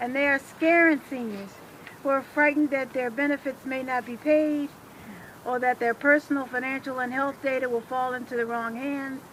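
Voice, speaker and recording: A woman with an American accent speaks in a high pitch with monotone, flat intonation. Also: moderate pace. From Washington, D.C. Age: 60s. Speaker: retired electrician and rally speaker. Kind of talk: rally speech.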